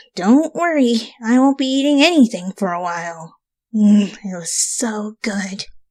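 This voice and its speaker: A put-on character voice, female-sounding, fairly high in pitch, at a moderate pace. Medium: read story. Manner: casual, brash.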